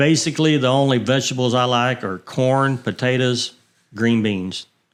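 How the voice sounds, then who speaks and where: The speaker is a man at medium pitch. He talks with a Texan accent. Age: 60s. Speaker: retired racer and fuel supplier. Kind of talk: casual interview. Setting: studio.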